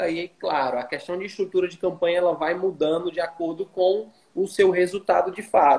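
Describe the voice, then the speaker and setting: This man's voice is high-pitched, with fairly even intonation. He keeps a moderate pace with hardly any pauses. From Brazil, Fortaleza. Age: 30s. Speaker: traffic manager. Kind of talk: casual chat.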